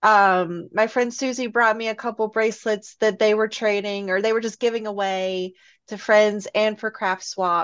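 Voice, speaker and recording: In an ordinary speaking voice, a woman talks at a fairly high pitch and a moderate pace with fairly even intonation. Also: quiet background. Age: 40s. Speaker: podcaster and fan group admin. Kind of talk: casual chat.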